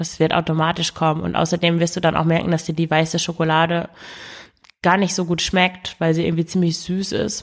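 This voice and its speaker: At a fairly quick pace, a woman speaks with a fairly low pitch and monotone, flat intonation. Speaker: podcast host and eating coach. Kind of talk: solo podcast monologue. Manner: spontaneous with hesitations and fillers.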